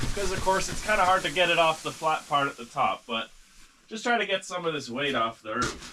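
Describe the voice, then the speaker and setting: A man speaks at a fairly quick pace with a high pitch and lively intonation. There is noticeable background noise behind him. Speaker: farmer and vlogger. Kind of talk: casual vlog narration while working. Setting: outdoors on farm in snowstorm. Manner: loud.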